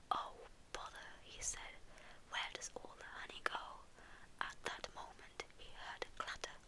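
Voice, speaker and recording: Someone whispers at a fairly slow pace. Noticeable background noise runs beneath the voice. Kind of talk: ASMR bedtime story reading. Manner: soft, relaxing, whispery.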